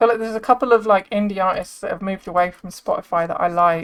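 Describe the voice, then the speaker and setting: Speaking with a British accent, a woman uses ordinary pitch variation. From England. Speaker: streamer. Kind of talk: casual chat.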